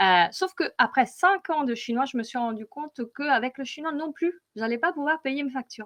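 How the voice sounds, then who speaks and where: In a dry, close sound with no echo, a woman with a high pitch speaks at a moderate pace with lively intonation. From Italy. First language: Italian (speaking French). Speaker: data visualization consultant. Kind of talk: conference presentation. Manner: hesitant, many fillers.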